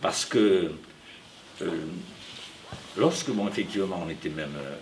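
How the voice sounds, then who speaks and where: A man speaks at a moderate pace in a fairly low pitch. Noticeable background noise and audible room echo fill the recording. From France. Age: 70s. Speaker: audience member. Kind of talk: audience question at public talk. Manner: hesitant, filler-heavy.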